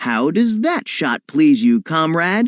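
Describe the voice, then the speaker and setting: Putting on a character voice, a man speaks at a fairly slow pace in a high pitch with very wide pitch swings. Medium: read story. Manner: boastful, confident.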